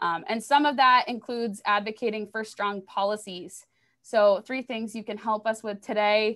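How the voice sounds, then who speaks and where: Against a quiet background, a woman with an unremarkable speaking voice talks at a moderate pace, her fairly high pitch showing ordinary variation. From Maine, US. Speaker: environmental educator. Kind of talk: educational presentation. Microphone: webcam.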